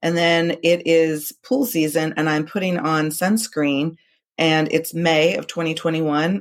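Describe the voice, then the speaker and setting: Pitch shifts in an ordinary way as the woman talks in an ordinary speaking voice. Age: 40s. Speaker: amateur tennis player and breast cancer survivor. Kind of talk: interview testimony.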